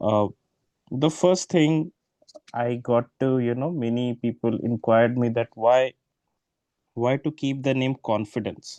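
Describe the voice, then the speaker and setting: A man with an Indian accent speaks at a fairly slow pace and a medium pitch, his tone dark and mellow. Long pauses come often, and the sound is dry and close with no echo. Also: ordinary pitch variation. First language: Hindi. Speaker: exam prep tutor. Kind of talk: online class orientation. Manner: hesitant, many filler words.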